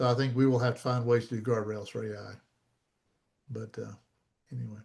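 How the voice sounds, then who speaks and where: The voice carries an American accent and sounds somewhat breathy. It moves at a fairly quick pace with monotone, flat intonation. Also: man, medium pitch for a man. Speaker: copyright expert, presenter. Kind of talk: Q&A after a talk. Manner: fast.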